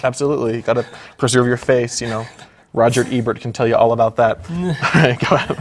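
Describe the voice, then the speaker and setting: Very fast speech over noticeable background noise. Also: man, medium pitch for a man, ordinary pitch variation. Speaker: improv comedian, news-parody anchor. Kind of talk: comedic mock news anchor banter.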